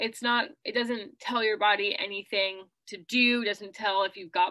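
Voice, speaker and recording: A woman speaks in a bright, sharp tone against a quiet background. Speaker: presenter. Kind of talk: lecture. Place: home room. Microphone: webcam.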